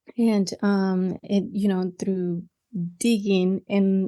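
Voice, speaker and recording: A woman with a Mexican accent, very slow delivery, quiet background. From Mexico. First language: Spanish. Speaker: podcaster and ministry coach. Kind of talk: interview conversation.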